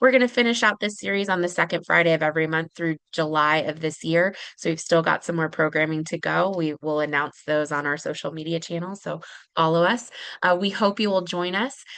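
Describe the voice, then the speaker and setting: A woman speaks in a fairly low voice at a fairly quick pace. The background is quiet. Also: ordinary pitch variation. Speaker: webinar moderator. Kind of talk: closing announcements. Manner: fast.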